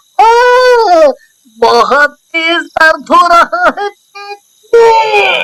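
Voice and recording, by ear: This is a cartoonish character voice at an extremely high pitch. The pace is very slow.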